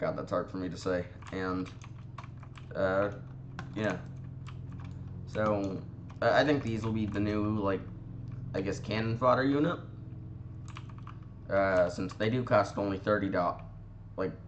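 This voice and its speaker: With audible room echo, a man with a fairly low pitch speaks at a fairly slow pace, using fairly even intonation and long, frequent pauses. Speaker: gaming youtuber. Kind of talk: gameplay commentary. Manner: halting, many fillers.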